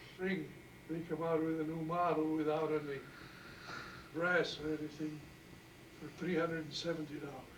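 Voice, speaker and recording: Over noticeable background noise, a man speaks at a fairly high pitch and a moderate pace in monotone, flat intonation, with long, frequent pauses. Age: 80s+. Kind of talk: interview answer.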